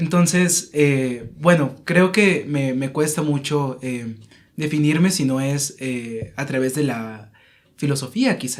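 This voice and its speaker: A man speaks very slowly, his fairly high voice moving with ordinary pitch variation. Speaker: philosophy guest. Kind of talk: casual chat. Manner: halting.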